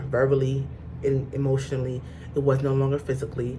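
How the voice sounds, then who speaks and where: A woman speaks at a fairly quick pace in a very deep, low voice, her tone animated, with audible room echo around her. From Mount Vernon, New York. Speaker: vlogger, hairstylist. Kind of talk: personal storytelling. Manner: emotional, animated.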